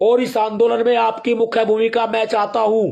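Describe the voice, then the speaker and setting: A man is speaking. His pace is fairly slow. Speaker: activist group leader. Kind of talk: political speech.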